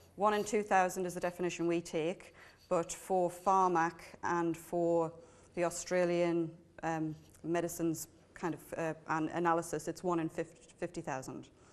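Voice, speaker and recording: With monotone, flat intonation, a woman talks at a moderate pace in a fairly low voice. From northern England, Newcastle. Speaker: patient advocacy organisation manager. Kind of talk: conference talk. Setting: stage with audience.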